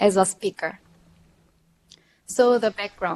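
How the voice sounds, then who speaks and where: A woman at a medium pitch and fairly slow pace, in a dry, close sound with no echo. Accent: Korean. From Korea. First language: Korean. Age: 30s. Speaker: PhD candidate. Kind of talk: lecture. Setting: video link to remote audience. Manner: halting.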